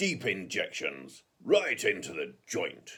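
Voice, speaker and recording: Putting on a character voice, a man speaks very slowly in a raspy, confident tone. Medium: read story. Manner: brisk, confident, showy.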